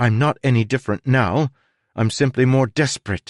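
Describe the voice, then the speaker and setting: A man does a growling, put-on character voice at a medium pitch. He keeps a moderate pace over a quiet background. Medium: read story.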